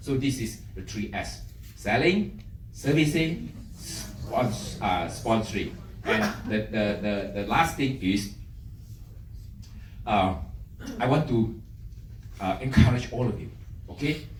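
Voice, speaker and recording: The speech comes at a very slow pace with long, frequent pauses. Audible echo from the room can be heard. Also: man. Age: 60s. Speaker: direct sales business leader. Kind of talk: motivational business talk. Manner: hesitant, many fillers.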